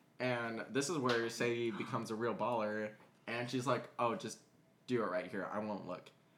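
A man speaks at medium pitch. Noticeable background noise sits behind him. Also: ordinary pitch variation, moderate pace. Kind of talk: casual storytelling. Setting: home dining room.

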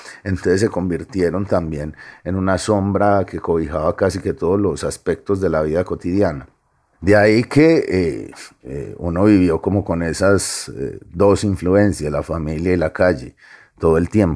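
A man's very deep, low voice, dark and mellow in tone, fairly slow, with ordinary pitch variation. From Medellín, Colombia (Aranjuez). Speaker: novelist. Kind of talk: interview.

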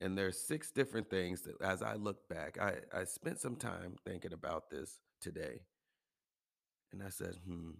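Very deep, low-pitched male voice with vocal fry, lively intonation and a moderate pace, in a very clean recording with a silent background. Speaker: podcast host and health and wellness coach. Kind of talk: solo motivational monologue.

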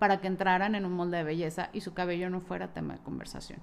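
In a very clean recording with a silent background, a woman speaks with a Mexican accent. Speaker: podcaster. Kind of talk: personal storytelling monologue.

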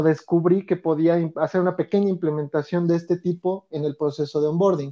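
Against a quiet background, a man with a high pitch and a dark, mellow tone speaks at a moderate pace with fairly even intonation, the sound dry and close with no echo. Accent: Mexico City. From Mexico City. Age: 30s. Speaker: organizational development consultant. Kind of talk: interview. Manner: hesitant, many fillers.

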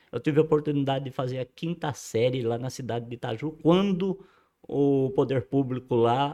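Here a man talks at a moderate pace. His voice sits fairly high in pitch. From rural São Paulo state, Brazil. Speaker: host's father, amateur musician. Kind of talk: casual interview, life story.

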